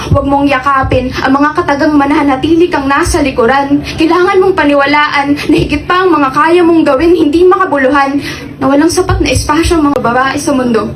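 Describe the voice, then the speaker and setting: A woman talks at a fairly quick pace and high pitch, with very even loudness and fairly even intonation. She leaves hardly any pauses, and noticeable background noise can be heard. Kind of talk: reverse spoken word poetry. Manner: defiant, rising emotion that turns hopeful in the reversed lines.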